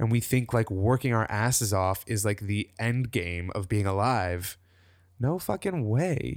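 Medium in pitch with ordinary variation, a man with a normal speaking voice is heard in a very clean recording with a silent background. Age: 30s. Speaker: wellness writer and coach. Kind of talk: interview.

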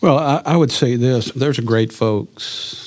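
The speaker has an Arkansas accent and ordinary pitch variation. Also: man. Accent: Southern US (Arkansas). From US South, eastern Arkansas. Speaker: agricultural products manager. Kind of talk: interview. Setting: studio.

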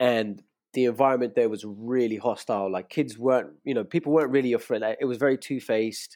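Delivered at a very fast pace with ordinary pitch variation, the voice has a dark, mellow tone in a very clean recording with a silent background. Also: man, medium pitch for a man. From Indian, grew up in Dubai, later England. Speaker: rapper and label founder. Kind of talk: casual interview chat.

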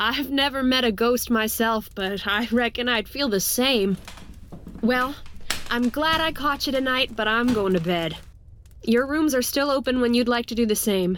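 A woman with a high pitch and ordinary pitch variation speaks at a moderate pace and very even loudness over noticeable background noise. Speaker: tavern keeper character voice.

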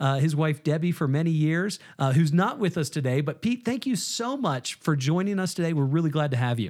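With an American accent and a normal speaking voice, a man talks at a moderate pace in a fairly high pitch with lively intonation, recorded very cleanly against a silent background. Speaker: podcast host. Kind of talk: casual interview conversation.

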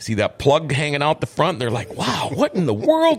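A man talks with an Upper Midwest accent. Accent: Upper Midwest (Minnesota). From Minnesota. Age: 50s. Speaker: podcast host, former radio host. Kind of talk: casual chat. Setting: studio.

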